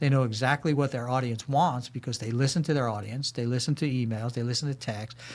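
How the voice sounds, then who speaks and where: In a very clean recording with a silent background, a man with an American accent talks at a very fast pace in a somewhat breathy voice. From New York, Brooklyn. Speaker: corporate security leader and military veteran. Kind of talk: podcast interview. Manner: animated.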